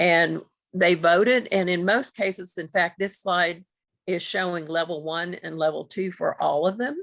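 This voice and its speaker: In an ordinary speaking voice, a woman talks at a moderate pace with a fairly low pitch. The background is quiet. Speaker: grant principal investigator presenting. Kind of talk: webinar presentation.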